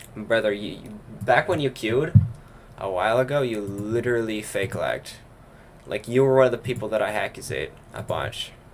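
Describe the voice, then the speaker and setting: Here is a man with an unremarkable speaking voice at a medium pitch. He talks at a moderate pace with ordinary pitch variation. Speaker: gaming livestreamer. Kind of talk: casual chat. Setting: livestream while gaming.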